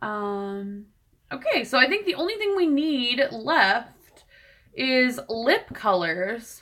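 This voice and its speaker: The tone is bright and sharp, with very wide pitch swings. Delivery is very slow. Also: woman. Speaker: beauty vlogger. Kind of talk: live stream tutorial, casual chat. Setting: home, live stream. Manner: mumbling to herself.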